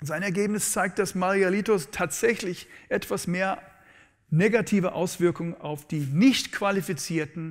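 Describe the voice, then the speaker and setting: Against a quiet background, a man speaks with an English accent. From USA (born in New Orleans). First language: English (speaking German). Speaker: economics professor; professor giving a public lecture. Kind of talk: lecture. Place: hall. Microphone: lapel.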